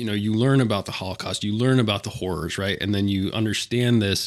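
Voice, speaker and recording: A man's ordinary speaking voice, fairly low in pitch, at a fairly quick pace with fairly even intonation, on a very clean recording with a silent background. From rural Pennsylvania. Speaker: podcast host. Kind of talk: casual political discussion.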